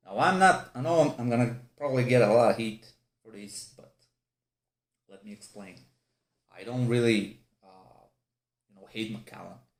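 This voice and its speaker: With a non-native accent, a man talks at a medium pitch with ordinary variation. His pauses are long and frequent. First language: not English. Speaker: whisky reviewer. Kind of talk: product review. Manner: halting; animated.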